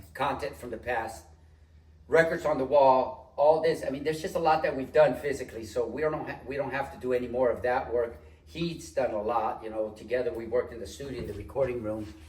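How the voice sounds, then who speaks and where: Amid noticeable background noise and audible room echo, a man with a medium pitch talks at a fairly quick pace with lively intonation. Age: 60s. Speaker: studio co-owner, retired air conditioning tradesman. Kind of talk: casual chat. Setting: studio.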